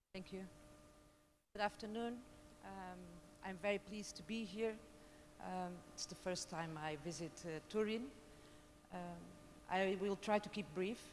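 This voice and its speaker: A woman with a Portuguese accent speaks at a medium pitch and a moderate pace. Her pitch varies in an ordinary way, and she takes long, frequent pauses. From Portugal. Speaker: lawyer, social innovation program head. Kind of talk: conference panel talk. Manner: halting.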